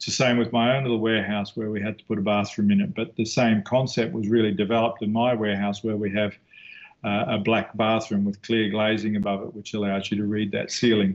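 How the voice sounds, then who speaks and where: Against a quiet background, a man with a New Zealand accent talks very fast in a flat monotone. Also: fairly low pitch for a man. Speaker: architect. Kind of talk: lecture. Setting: video call. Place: office. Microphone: video call.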